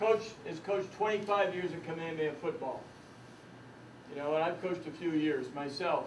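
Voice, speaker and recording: Noticeable background noise and audible room echo accompany a man whose pitch shows ordinary variation. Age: 70s. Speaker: retired judge and coach. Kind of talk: workshop talk. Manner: animated.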